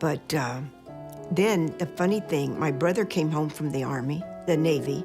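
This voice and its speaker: A woman with an American accent speaks in a fairly low pitch with lively intonation, music playing in the background. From Southern United States. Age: 80s+. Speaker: retired postal worker. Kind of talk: interview answer. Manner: natural, relaxed storytelling.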